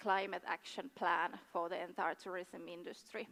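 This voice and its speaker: Moderately paced and medium-pitched, a woman talks with a Finnish accent on a very clean recording with a silent background, the sound dry and close with no echo. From Finland. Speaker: tourism board official. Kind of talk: conference presentation. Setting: stage with audience. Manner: halting, many fillers.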